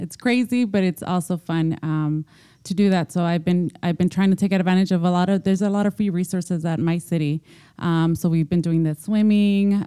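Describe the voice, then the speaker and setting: A woman's dark, mellow tone at medium pitch, a moderate pace and fairly even intonation, recorded dry and close with no echo in a very clean recording against a silent background. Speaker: mother scholar and podcast co-host. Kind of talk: casual roundtable chat. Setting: in-person group recording in an office.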